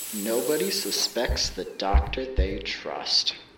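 A menacing, sinister tone unfolds at a very slow pace over noticeable background noise. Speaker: voice actor playing characters. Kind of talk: horror story voiceover, theatrical character performance. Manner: menacing, taunting, sinister, in a put-on voice.

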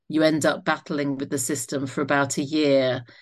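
Against a quiet background, a woman with a southern English accent talks at a moderate pace. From Isle of Wight, southern England. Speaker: doctor and author. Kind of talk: interview.

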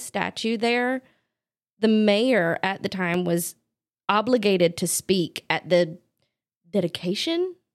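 On a very clean recording with a silent background, a woman with an American accent speaks in an unremarkable speaking voice at medium pitch. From North Carolina, Charlotte area. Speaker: dog groomer. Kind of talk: casual chat. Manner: mumbling.

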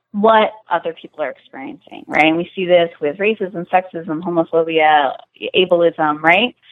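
A woman with an American accent speaks at a moderate pace. Her pitch is fairly low, with ordinary variation. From US Deep South. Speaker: sexologist and consent educator. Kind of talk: podcast interview.

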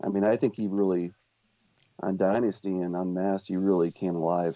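This man's pitch is very deep and low, his tone dark and mellow. He talks at a fairly quick pace. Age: 40s. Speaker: music fan, guest panelist. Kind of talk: casual chat.

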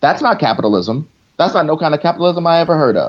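There is vocal fry in this man's voice, and his intonation is lively. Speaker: comedian and podcaster. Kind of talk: casual comedic chat.

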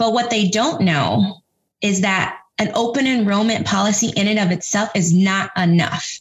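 With an American accent, this woman's voice comes out a little breathy, and its pitch moves in a normal way. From Texas, San Antonio. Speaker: education nonprofit director, former teacher. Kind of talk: interview.

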